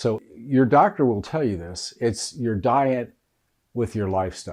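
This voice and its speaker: Against a quiet background, a man at a medium pitch talks at a moderate pace with ordinary pitch variation. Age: 60s. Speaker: health coach. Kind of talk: casual talk to camera. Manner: hesitant, with fillers.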